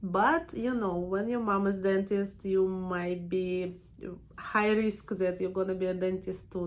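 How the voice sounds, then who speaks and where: A woman's medium-pitched voice in a monotone, flat delivery. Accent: strong Russian. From Russia, Siberia. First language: Russian. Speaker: permanent makeup artist and trainer. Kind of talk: casual personal vlog. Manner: hesitant, with fillers.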